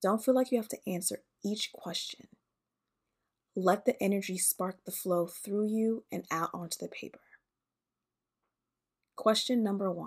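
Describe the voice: A woman at medium pitch and a fairly slow pace, with long, frequent pauses, ordinary pitch variation and a very clean recording over a silent background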